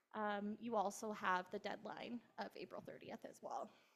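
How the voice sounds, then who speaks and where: In an unremarkable speaking voice with ordinary pitch variation, a woman talks at a fairly slow pace. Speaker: accountant giving a tax talk. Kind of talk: presentation to an audience. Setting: pub venue with in-person and online audience.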